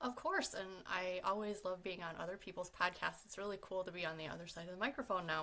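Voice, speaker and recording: A woman talks at a very fast pace. There are hardly any pauses. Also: medium pitch for a woman, ordinary pitch variation. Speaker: firefighter and wellness advocate. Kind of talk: casual interview. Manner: loud.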